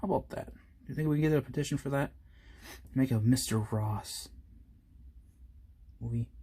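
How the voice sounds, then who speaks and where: Speaking at a moderate pace, a man leaves long, frequent pauses. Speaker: miniature painting youtuber. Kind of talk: tutorial. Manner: halting, stumbles over words; casual, chatty.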